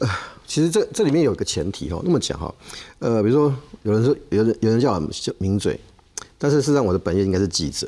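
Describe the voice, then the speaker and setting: This man talks at a very fast pace with a dark, mellow tone, very wide pitch swings, and long, frequent pauses. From Taiwan, Taichung; Taiwan. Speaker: political commentator. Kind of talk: TV panel discussion. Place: studio. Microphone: lapel.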